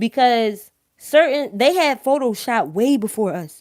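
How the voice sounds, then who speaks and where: A woman's fairly high voice in a strong Philadelphia accent. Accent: thick Philadelphia. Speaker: live-stream host. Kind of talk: casual live-stream monologue. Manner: animated.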